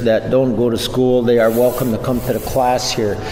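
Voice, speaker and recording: A man speaks at a medium pitch. Audible room echo and music in the background accompany him. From Red Lake reservation, Minnesota. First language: Ojibwe. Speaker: language teacher. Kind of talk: radio interview.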